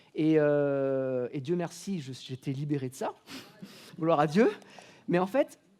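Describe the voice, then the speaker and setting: A very slow pace with long, frequent pauses. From Réunion, moved to mainland France at 8. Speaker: preacher. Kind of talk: sermon.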